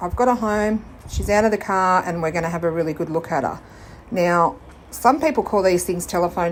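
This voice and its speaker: A woman talks with an Australian accent. Her pace is fairly quick and her pitch variation ordinary. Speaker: furniture flipping YouTuber. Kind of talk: DIY vlog tutorial.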